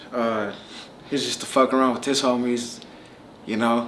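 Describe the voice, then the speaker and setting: A man's medium-pitched, flat monotone at a moderate pace, with noticeable background noise and audible room echo. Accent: American. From Southern California (Palmdale). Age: 30s. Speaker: rapper. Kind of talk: casual interview. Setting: Las Vegas. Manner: casual, with fillers and repetitions.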